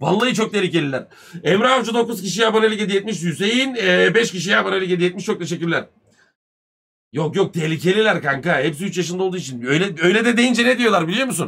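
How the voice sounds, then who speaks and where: Talking at a very fast pace, a man uses a high pitch, an animated tone and lively intonation. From Turkey. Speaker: live streamer. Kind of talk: casual live stream chat. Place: home room.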